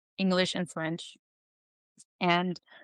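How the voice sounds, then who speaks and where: A woman's fairly low voice with a Dutch accent, flat and monotone at a moderate pace, dry and close with no echo, against a quiet background. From Netherlands. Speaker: researcher and educator. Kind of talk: podcast interview.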